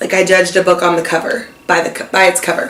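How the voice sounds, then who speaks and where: A woman is speaking. Her pitch is medium. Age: 20s. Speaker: vlogger, kindergarten teacher. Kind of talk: casual chat.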